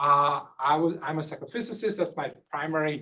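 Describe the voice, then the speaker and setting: Fairly high-pitched male speech with ordinary pitch variation. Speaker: vision scientist. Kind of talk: lecture. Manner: fast.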